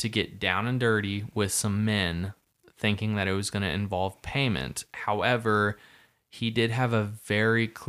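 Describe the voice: The speaker gives a plain reading aloud. The background is quiet.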